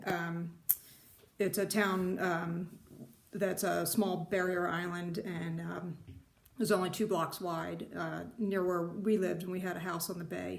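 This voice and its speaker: A woman with an American accent speaks at a fairly low pitch with vocal fry, keeping a flat monotone at a fairly slow pace. Audible room echo surrounds her voice. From US Northeast, New Jersey shore. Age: 50s. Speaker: retired IT worker, needlework vlogger. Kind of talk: casual vlog introduction. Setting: home craft room. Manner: hesitant, many fillers.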